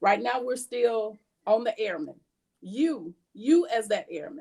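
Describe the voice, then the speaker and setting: Lively intonation marks a woman's fairly high-pitched speech in a plain, everyday voice. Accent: American. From Georgia, US South. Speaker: military presenter. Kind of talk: workshop talk.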